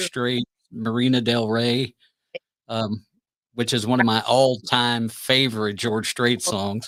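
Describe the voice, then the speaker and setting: At a very slow pace and medium pitch, a man speaks in a monotone, flat intonation with long, frequent pauses. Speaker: podcast host. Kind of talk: casual interview talk.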